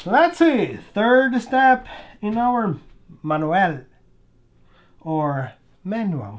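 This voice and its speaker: The speech moves at a very slow pace, broken by long, frequent pauses. The background is quiet. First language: not English. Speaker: RC model hobbyist YouTuber. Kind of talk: casual build tutorial. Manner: chatty, talking to himself while working.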